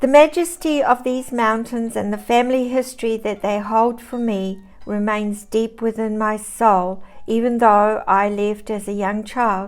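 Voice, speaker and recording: At a fairly slow pace, the speaker talks in a New Zealand accent with ordinary pitch variation. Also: woman, fairly high pitch for a woman. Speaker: storyteller. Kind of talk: reading aloud. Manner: formal.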